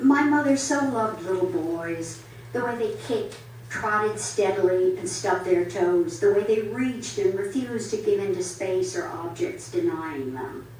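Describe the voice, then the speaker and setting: A woman at medium pitch with very wide pitch swings and a fairly slow pace, amid audible room echo and noticeable background noise. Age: 80s+. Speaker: poet. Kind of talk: poetry reading. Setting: library reading with audience. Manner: halting in asides.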